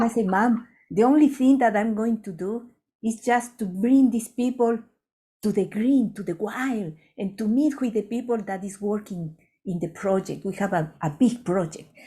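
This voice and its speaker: Speaking with a Latin American accent, a woman has a fairly high pitch and a dark, mellow tone that is somewhat breathy. Her pace is moderate, with ordinary pitch variation. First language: Spanish. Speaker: ethnobotanist and conservation center founder. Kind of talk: storytelling in a webinar conversation. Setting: webinar.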